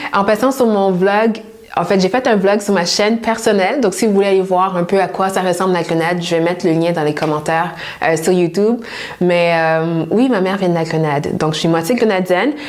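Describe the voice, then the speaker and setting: Noticeable background noise sits behind a woman speaking at a fairly quick pace, her medium pitch showing ordinary variation and her loudness very even. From Montreal, Quebec. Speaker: personal stylist youtuber. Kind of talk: casual Q&A vlog.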